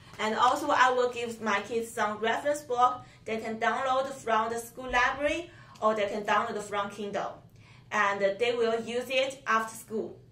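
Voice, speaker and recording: A woman speaks in a Chinese accent at a fairly high pitch. Her intonation is fairly even, and the room echo is audible. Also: moderate pace. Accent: Mandarin Chinese accent in English. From China. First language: Mandarin Chinese. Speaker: Mandarin teacher. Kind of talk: interview. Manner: halting, non-native phrasing.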